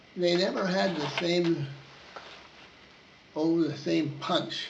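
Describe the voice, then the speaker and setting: At a very slow pace, a man speaks with fairly even intonation amid audible room echo and noticeable background noise. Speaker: war veteran. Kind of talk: oral history interview. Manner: halting.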